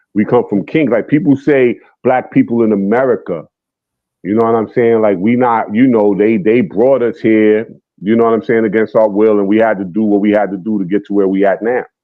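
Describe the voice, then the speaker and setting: Keeping his loudness very even, a man with a New York accent and a fairly low pitch speaks at a fairly quick pace. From New York City, the Bronx. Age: 50s. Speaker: guest on a hip hop talk stream. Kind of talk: casual debate. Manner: animated.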